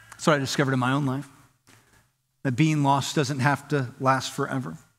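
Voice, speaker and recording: The speaker is a man with an American accent. He moves along at a fairly quick pace. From Southern California. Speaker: pastor. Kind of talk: sermon. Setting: church. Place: church. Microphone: headset.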